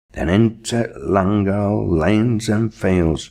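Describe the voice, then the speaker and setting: The speaker has a Lancashire accent and a very slow pace. The background is quiet. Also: man. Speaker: poetry reader. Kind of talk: dialect poetry reading.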